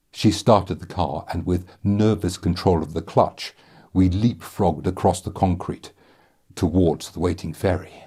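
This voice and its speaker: Very deep and low in pitch, a man's somewhat breathy voice moves at a moderate pace. His intonation is fairly even, and the recording is very clean with a silent background. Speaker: author and audiobook narrator. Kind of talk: audiobook reading of a dark comedy novel.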